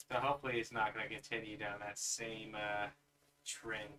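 A man speaks in a bright, sharp tone over light background noise. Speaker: streamer opening trading cards. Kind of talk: live stream card opening. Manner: animated. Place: home room.

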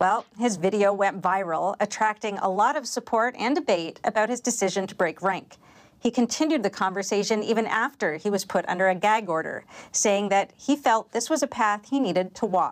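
With ordinary pitch variation, a woman at a medium pitch speaks at a moderate pace. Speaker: news interviewer. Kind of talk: news interview. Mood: serious, measured. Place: studio. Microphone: lapel.

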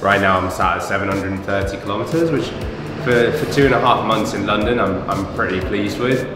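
A man talks at a moderate pace with ordinary pitch variation. Audible room echo and noticeable background noise accompany him. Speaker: interviewee. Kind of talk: interview answer. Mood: cheerful, relaxed. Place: home room.

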